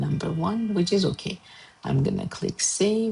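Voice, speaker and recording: A woman speaks in an Armenian accent with noticeable background noise behind her. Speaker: art and design teacher. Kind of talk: tutorial. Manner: hesitant, many fillers.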